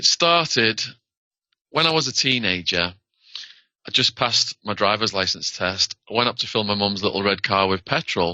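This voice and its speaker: In a British accent, a man with a fairly low pitch speaks at a moderate pace with lively intonation. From northern England. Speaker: former prisoner, author. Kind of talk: interview.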